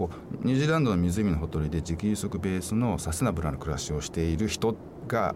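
A man with a very deep, low pitch talks at a very fast pace. Noticeable background noise sits behind him. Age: 50s. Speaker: author and environmental advocate. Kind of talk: radio interview.

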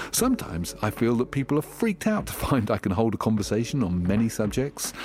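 Noticeable background noise sits behind a voice moving at a fairly slow pace. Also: man. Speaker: DJ and musician. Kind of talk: voice letter reading.

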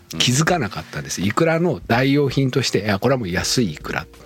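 A man speaks at medium pitch with very wide pitch swings. Noticeable background noise is present. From Okayama, Japan. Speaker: chef. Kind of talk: casual interview.

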